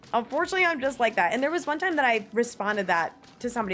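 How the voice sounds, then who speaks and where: Loud woman's voice in an American accent, with very wide pitch swings, over music in the background. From New Jersey, US. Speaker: streamer. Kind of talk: casual chat. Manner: animated.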